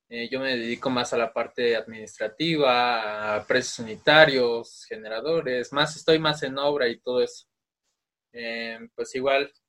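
This man has an unremarkable speaking voice with a medium pitch. He talks at a moderate pace with fairly even intonation. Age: 20s. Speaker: architecture student and podcast co-host. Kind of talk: casual chat.

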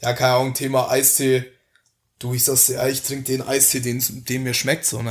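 The speaker is a man with a medium pitch and a Franconian accent. His voice is somewhat breathy. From Franconia, Germany. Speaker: podcast guest. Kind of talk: casual chat.

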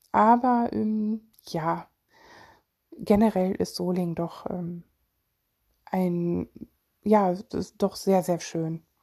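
A woman speaks at a very slow pace, leaving long, frequent pauses. Her tone is dark and mellow, with ordinary pitch variation. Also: medium pitch for a woman. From Germany, Solingen (Rhineland). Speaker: podcaster and mental health blogger. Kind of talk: casual personal monologue. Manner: hesitant, many fillers.

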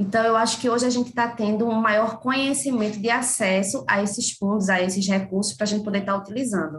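Talking very fast with hardly any pauses, a woman uses a fairly high, somewhat breathy voice with ordinary pitch variation and very even loudness. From Pernambuco, Brazil (Camaragibe, near Recife). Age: 30s. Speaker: cultural producer and consultant. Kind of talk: interview conversation.

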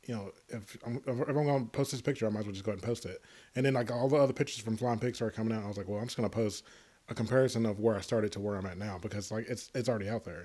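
Speaking very fast in a Southern US accent, a man has a dark, mellow tone. His pitch is medium and his intonation fairly even. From Tennessee. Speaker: podcast host. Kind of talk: casual chat. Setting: remote call.

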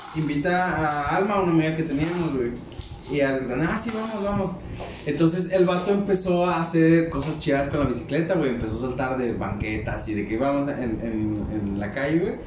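With a Mexican accent, a man speaks with lively intonation at a fairly high pitch, amid audible room echo and noticeable background noise. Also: moderate pace. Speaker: podcast co-host. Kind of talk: casual chat. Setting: bedroom.

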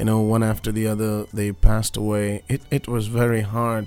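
A man with a Tamil accent talks at a moderate pace in a fairly low voice. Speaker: radio host and pastor. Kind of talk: radio interview with Tamil interpretation.

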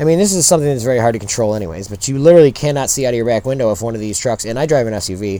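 Lively intonation from a man at medium pitch, delivered at a very fast pace over noticeable background noise. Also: hardly any pauses. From rural area. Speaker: podcast host, parent. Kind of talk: casual chat. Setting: outdoors.

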